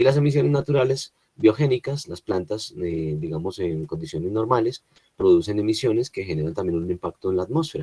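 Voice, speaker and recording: This man has a dark, mellow tone and a fairly low pitch. His voice is somewhat breathy and swings very widely in pitch. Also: dry, close sound with no echo. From Colombia. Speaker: environmental engineer, lecturer. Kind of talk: webinar lecture. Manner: hesitant, many fillers.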